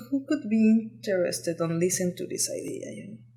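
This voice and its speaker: A woman with a Mexican accent speaks at a fairly quick pace, her pitch swinging very widely over noticeable background noise. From Mexico. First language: Spanish. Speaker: lighting designer and entrepreneur. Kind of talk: podcast interview. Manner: halting, many fillers.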